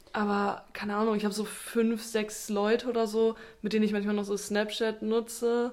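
With noticeable background noise behind her, a woman with a fairly high pitch talks at a moderate pace, her intonation monotone and flat. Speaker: podcast host. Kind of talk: casual chat. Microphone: new microphone setup.

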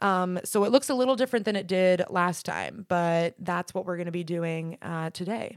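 In a very clean, dry and close recording with no echo and a silent background, a woman speaks in an ordinary speaking voice at a moderate pace and medium pitch, with ordinary pitch variation and hardly any pauses. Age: 20s. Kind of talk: casual chat.

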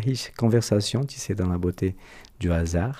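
A man speaks at a fairly slow pace with a very deep, low pitch, ordinary pitch variation and a dark, mellow, somewhat breathy tone. The recording is very clean, with a silent background. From Brazil. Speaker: podcast host. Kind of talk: interview. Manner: formal.

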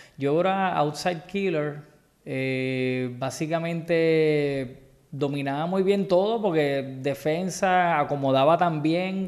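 A man's fairly high voice with ordinary pitch variation, a very slow pace and audible room echo. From Puerto Rico, Guaynabo. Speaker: dive business owner. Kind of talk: casual interview.

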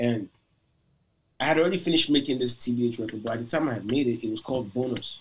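A somewhat breathy man at a very fast pace. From Nigeria (Lagos). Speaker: musician. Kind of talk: interview.

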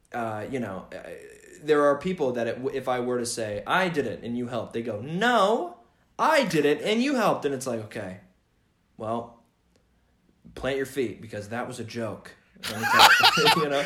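Amid audible room echo, a man with a medium pitch and a bright, sharp tone speaks at a moderate pace with lively intonation and long, frequent pauses. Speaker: podcast guest. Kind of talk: casual chat. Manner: halting.

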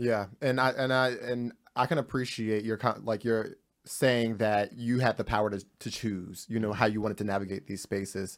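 A man with an American accent and a plain, everyday voice speaks at medium pitch and a moderate pace, his intonation fairly even, in a very clean recording with a silent background. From New Jersey. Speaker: podcast host. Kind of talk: casual panel discussion.

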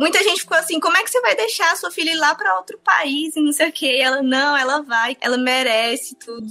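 Her voice raised and projected, a woman speaks at a high pitch and a fairly quick pace, with very wide pitch swings and hardly any pauses. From Ceará interior (Sobral region), Brazil. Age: 20s. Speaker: former student. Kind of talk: interview testimony.

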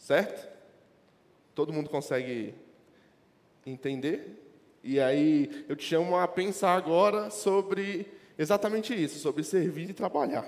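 A man speaks at a fairly slow pace with a high pitch and lively intonation. Long, frequent pauses break up his speech. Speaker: lay preacher. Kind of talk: sermon.

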